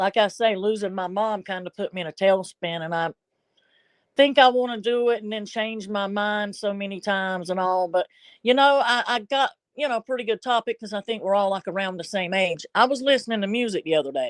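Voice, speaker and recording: A woman with a Southern US accent speaks at a fairly quick pace in a medium-pitched voice with ordinary pitch variation. The sound is dry and close with no echo, over a quiet background. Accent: Southern US accent, noticeable. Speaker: live streamer. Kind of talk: casual live stream chat. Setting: live stream. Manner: rambling, halting with repetitions.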